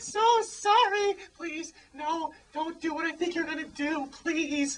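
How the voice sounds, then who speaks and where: An extremely high-pitched, put-on character voice delivers its lines at a fairly slow pace. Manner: pleading, sobbing.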